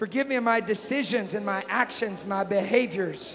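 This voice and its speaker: An American-accented man at a high pitch, fairly even intonation and moderate pace, with noticeable background noise. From Texas. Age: young. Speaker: evangelist. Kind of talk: climactic altar-call sermon, commanding healing and tongues. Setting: church. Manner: loud, building to a shout.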